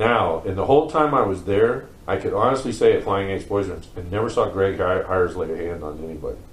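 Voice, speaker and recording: Audible room echo surrounds a man with an American accent who talks at a fairly quick pace, his fairly low voice somewhat breathy. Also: lively intonation. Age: 50s. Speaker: former group home resident. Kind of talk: interview testimony. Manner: casual, halting with fillers.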